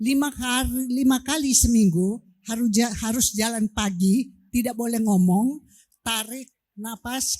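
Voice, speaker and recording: Her tone is dark and mellow as a woman speaks at a fairly slow pace. Her pitch varies in an ordinary way. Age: 70s. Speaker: audience member asking a question. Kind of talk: audience question.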